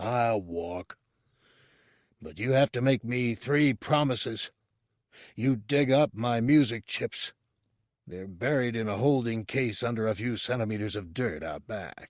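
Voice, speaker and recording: A man does a put-on character voice at a medium pitch, fairly slowly, with long, frequent pauses. The background is quiet. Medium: read story. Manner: haughty, scornful, stubborn.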